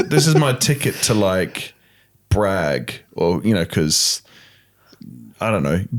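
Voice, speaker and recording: Very slow and full of long, frequent pauses, a man's very deep, low voice moves through very wide pitch swings. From Australia. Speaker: pastor. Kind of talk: casual chat.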